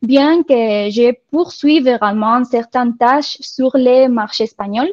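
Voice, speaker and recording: A woman with a non-native accent speaks at a very slow pace and a high pitch. The sound is dry and close, with no echo. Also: ordinary pitch variation. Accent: foreign accent in French. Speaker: marketing software country manager. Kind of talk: webinar presentation. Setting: online webinar.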